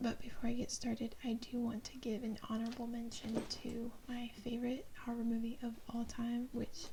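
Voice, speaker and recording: The voice is soft-spoken, with an American accent. Noticeable background noise sits behind it. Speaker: ASMR creator. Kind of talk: ASMR soft-spoken show-and-tell.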